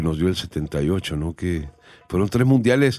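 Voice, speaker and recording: This man's voice has a very deep, low pitch and a dark, mellow tone, heard in a dry, close sound with no echo. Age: 50s. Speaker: football pundit. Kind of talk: casual panel chat.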